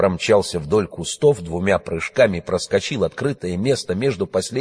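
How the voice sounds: The voice has lively intonation. It is a natural reading voice.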